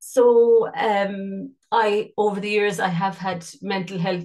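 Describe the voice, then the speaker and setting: A woman in a western Irish accent, fairly even intonation, against a quiet background. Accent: Irish (west of Ireland). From Ireland, County Mayo. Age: 50s. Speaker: life coach and singer. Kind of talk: casual interview chat. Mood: open, reflective personal sharing. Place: home room. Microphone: video call.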